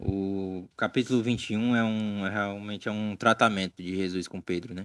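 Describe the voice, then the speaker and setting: A man with a Cearense accent speaks at a moderate pace in a fairly low, monotone, flat voice. The sound is dry and close with no echo, on a very clean recording with a silent background. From Ceará, northeastern Brazil. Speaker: Bible study podcast co-host. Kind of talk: casual Bible discussion.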